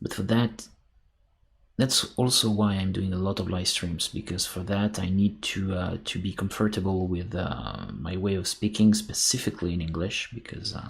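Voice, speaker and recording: Speaking with a French accent, a man uses a fairly low pitch and fairly even intonation, sounding somewhat breathy at a moderate pace. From France. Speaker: sculptor. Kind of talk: casual chat. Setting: live stream. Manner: halting.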